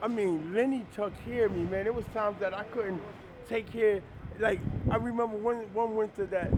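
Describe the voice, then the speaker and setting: With an American accent, a man speaks at a high pitch and a moderate pace. His intonation is fairly even, and there is noticeable background noise. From New Jersey, Jersey City. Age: 50s. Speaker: professor. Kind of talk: casual chat.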